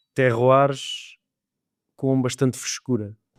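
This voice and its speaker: In a very clean recording with a silent background and a dry, close sound with no echo, a man speaks slowly at a medium pitch with a European Portuguese accent. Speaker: wine podcast host. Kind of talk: interview question.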